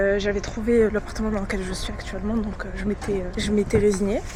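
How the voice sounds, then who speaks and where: A woman is heard over noticeable background noise. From France. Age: 20s. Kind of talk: casual vlog talk to camera.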